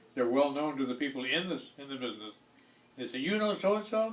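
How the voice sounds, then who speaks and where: Here a man with a fairly high pitch talks at a very fast pace with lively intonation. The room echoes audibly, and background noise is noticeable. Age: 80s+. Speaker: retired music business veteran. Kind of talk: life story interview. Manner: halting, many repetitions and fillers.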